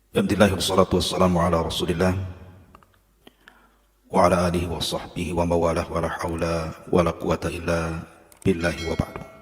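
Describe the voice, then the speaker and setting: A man speaks in a very deep, low voice with monotone, flat intonation. He talks at a very fast pace yet leaves long, frequent pauses. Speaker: Islamic preacher (ustad). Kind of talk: Islamic sermon (khutbah/lecture) to a congregation.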